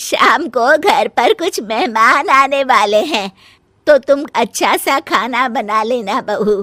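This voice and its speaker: In a cartoonish character voice, a woman speaks high-pitched at a fairly slow pace with lively intonation, the sound dry and close with no echo. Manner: commanding.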